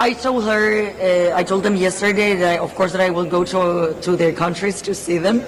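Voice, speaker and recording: A woman with a medium pitch speaks while noticeable background noise carries on. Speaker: beauty pageant contestant. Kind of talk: press interview. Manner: animated.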